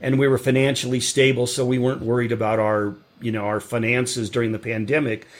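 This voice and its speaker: A man with an American accent talks fairly quickly at a medium pitch with fairly even intonation, in an ordinary speaking voice. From US Colorado. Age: 60s.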